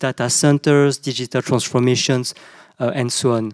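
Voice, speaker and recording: Someone with a French accent talks at a moderate pace. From southern France. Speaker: panelist, CEO of an Asia business network. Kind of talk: panel discussion. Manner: halting, many fillers and repetitions.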